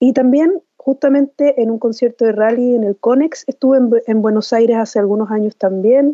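At a moderate pace with hardly any pauses, a woman with a Chilean accent speaks at high pitch, with ordinary pitch variation and very even loudness. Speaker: singer-songwriter. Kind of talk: interview.

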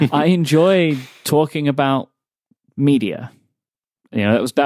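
A man with a London accent speaks at a moderate pace and fairly high pitch with ordinary pitch variation, the sound dry and close with no echo on a very clean recording with a silent background. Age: 30s. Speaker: podcaster and podcast network founder. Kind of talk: casual interview chat.

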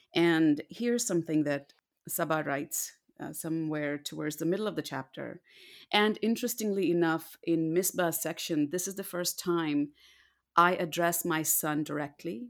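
On a very clean recording with a silent background, a woman speaks at a moderate pace with fairly low pitch and ordinary pitch variation. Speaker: audiobook narrator. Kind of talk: interview conversation.

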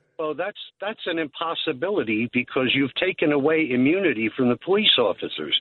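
Quick and lively, a man talks in an ordinary speaking voice at a fairly high pitch with a fairly quick pace. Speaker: caller. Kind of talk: casual chat. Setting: phone call.

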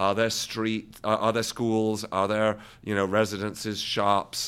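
The pace is moderate. It is an ordinary speaking voice. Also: man. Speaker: walkability advocate. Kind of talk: interview answers.

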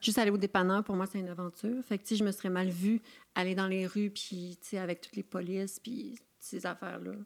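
A woman with a normal speaking voice at medium pitch talks with fairly even intonation in a very clean recording with a silent background. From Quebec, Charlevoix. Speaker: actress and poet. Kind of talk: casual interview chat.

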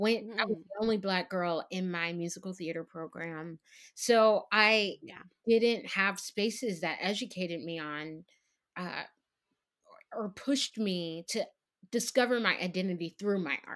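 A woman with a plain, everyday voice and an American accent, medium pitch, ordinary pitch variation, big swings in loudness and a fairly slow pace, on a very clean recording with a silent background. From Texas. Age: young. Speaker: Broadway actress. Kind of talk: casual chat.

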